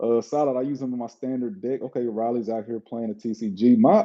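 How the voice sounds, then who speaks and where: A man talks with a Southern US accent. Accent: Southern drawl. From Mississippi, US South. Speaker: streamer opening trading card packs. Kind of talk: live stream chat. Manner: casual, fast-paced.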